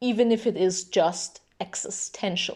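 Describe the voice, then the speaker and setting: A woman speaks at a very slow pace. The recording is very clean, with a silent background. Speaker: video essayist. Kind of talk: monologue. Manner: strict.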